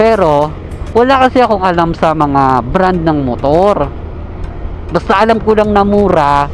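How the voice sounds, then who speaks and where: A man's high voice with lively intonation and very even loudness, at a fairly slow pace, amid noticeable background noise. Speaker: motovlogger. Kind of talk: casual vlog narration while riding. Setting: riding a motorcycle on the road. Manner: animated. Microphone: external mic inside helmet, muffled like aquarium.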